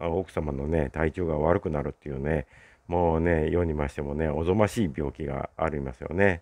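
A man with a dark, mellow tone speaks in a dry sound with no echo over a quiet background. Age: 60s. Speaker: YouTuber. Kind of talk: solo vlog monologue. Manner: casual, filler-heavy. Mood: relaxed, wry. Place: street. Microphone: phone near.

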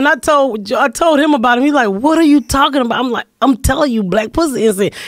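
Loud and very fast with hardly any pauses, a woman speaks at a high pitch with lively intonation, in a dry sound with no echo over a quiet background. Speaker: comedian. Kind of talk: casual chat. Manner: loud, carrying voice. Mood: playful, amused storytelling. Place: studio. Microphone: studio mic.

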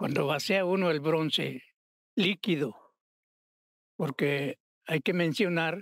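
Over a quiet background, a man talks at a fairly slow pace with a high pitch, ordinary pitch variation and a dry sound with no echo. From Mexico, Morelia (Michoacán); Michoacán, Mexico. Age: 80s+. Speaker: sculptor and bronze founder; guest. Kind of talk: interview.

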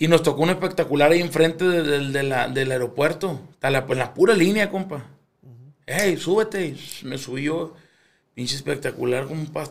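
A man with a fairly high pitch talks at a moderate pace with ordinary pitch variation, in a normal speaking voice. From Culiacán, Sinaloa, Mexico. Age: 30s. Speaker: musician. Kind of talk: casual chat.

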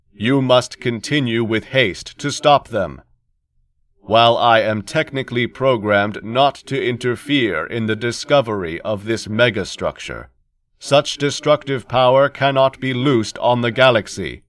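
This man puts on a character voice at a medium pitch and a moderate pace. The recording is very clean, with total silence behind him. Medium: read story. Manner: flat, unemotional.

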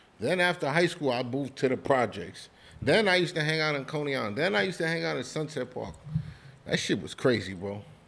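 A man's fairly high voice with vocal fry and a New York accent, very fast and full of very wide pitch swings. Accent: New York City. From New York City (Spanish Harlem, Brooklyn). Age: 40s. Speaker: podcast host. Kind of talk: casual chat.

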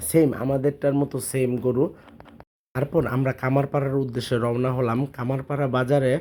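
A man speaks in a medium pitch with a dark, mellow tone. His intonation is monotone and flat. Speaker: vlogger. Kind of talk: vlog narration.

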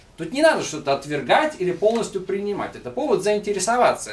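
At a fairly quick pace, a man talks in a high pitch with very wide pitch swings. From Russia. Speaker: lecturer, book compiler; lecturer. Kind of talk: public lecture with Q&A. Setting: bookstore event with live audience. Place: shop. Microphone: camera far.

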